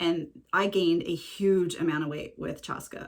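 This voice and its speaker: A woman is speaking here. Her voice is fairly low and her pace is moderate. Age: 40s. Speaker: headscarf styling vlogger. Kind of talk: casual tutorial vlog. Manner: hesitant, many fillers.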